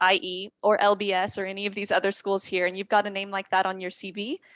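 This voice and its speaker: A woman with an American accent talks fairly quickly in a plain, everyday voice at medium pitch. The sound is dry and close with no echo. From United States. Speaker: admissions representative. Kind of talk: panel discussion.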